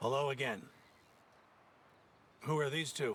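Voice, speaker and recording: Using a put-on character voice, a man speaks raspy and at medium pitch, with a calm tone and a moderate pace. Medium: video game. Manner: calm, measured.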